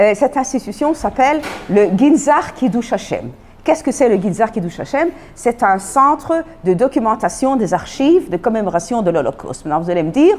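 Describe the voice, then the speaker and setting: With a non-native accent and a fairly high pitch, a woman talks at a moderate pace, her pitch swinging very widely and her loudness rising and falling sharply. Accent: foreign accent in French. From Belgium, Antwerp. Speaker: Holocaust lecturer. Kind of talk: lecture. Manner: halting.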